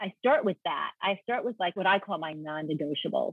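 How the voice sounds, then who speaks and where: Using a plain, everyday voice, a woman with an American accent and a fairly low pitch speaks at a moderate pace. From New York. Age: 50s. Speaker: lifestyle blogger and influencer. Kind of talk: casual interview.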